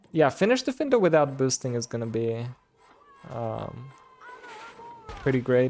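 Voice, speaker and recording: A man speaks at a moderate pace with long, frequent pauses amid noticeable background noise. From Bulgaria. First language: Bulgarian. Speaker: streamer. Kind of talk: live game commentary; casual chat with viewers. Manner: casual, filler-heavy.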